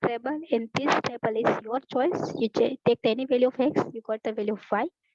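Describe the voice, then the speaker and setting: A woman speaks with a Gujarati accent. Her pitch is high. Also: hardly any pauses, dry, close sound with no echo. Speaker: math teacher. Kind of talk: online lecture. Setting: online class. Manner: loud. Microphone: students report audio problem with her voice.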